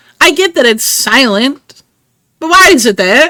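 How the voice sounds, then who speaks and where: Using a raised, projected voice, a woman with an American accent and a bright, sharp tone speaks with lively intonation. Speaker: video game streamer. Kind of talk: casual live stream chat. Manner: animated.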